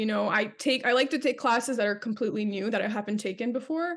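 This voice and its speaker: With an unremarkable speaking voice, a woman talks at a fairly high pitch with ordinary pitch variation. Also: quiet background. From Canada. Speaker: actress. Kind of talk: interview answer.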